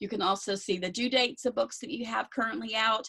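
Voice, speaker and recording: The speaker talks at a very fast pace with lively intonation and vocal fry. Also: woman. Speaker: outreach coordinator for a talking book program. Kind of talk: presentation.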